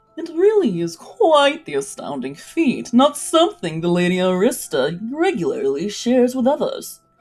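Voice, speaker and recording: Faint music plays in the background as a woman uses a nasal, high-pitched, put-on character voice at a moderate pace. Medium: read story.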